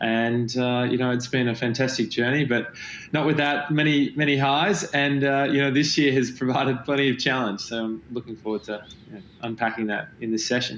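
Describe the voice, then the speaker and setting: With an Australian accent, a man talks at a fairly quick pace in a medium pitch and fairly even intonation. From Australia, Melbourne. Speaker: company founder and CEO. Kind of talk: panel interview. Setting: virtual event.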